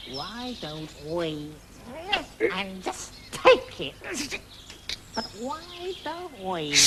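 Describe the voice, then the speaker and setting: Someone puts on a character voice at a middle pitch, speaking very slowly with long, frequent pauses. Clear background noise is present. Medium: short film. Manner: terse, blunt, few words.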